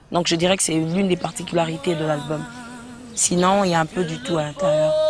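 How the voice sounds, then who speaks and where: A woman with a fairly low pitch speaks fairly quickly and with fairly even intonation amid noticeable background noise. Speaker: gospel singer. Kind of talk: interview. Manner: hesitant, repeats words.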